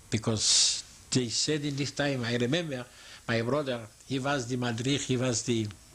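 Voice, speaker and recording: A man's medium-pitched voice comes through noticeable background noise. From eastern Poland. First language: Yiddish. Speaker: Holocaust survivor. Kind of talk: oral history interview. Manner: halting.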